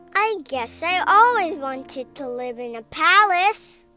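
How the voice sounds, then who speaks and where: With faint music in the background, a woman uses a put-on character voice at a fairly slow pace. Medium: read story. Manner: wondering, wistful.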